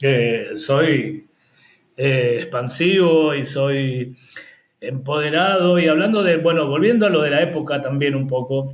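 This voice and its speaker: A man's very slow, somewhat breathy voice at a fairly high pitch. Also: ordinary pitch variation. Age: 60s. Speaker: HIV peer educator and activist. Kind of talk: interview.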